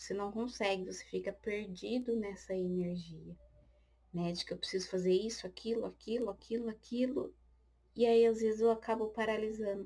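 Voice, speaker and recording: A woman's somewhat breathy, dark, mellow tone. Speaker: tarot reader. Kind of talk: tarot reading. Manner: slow; occasional stammering.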